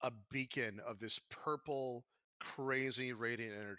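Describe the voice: The speaker reads aloud plainly. Everything behind the voice is quiet.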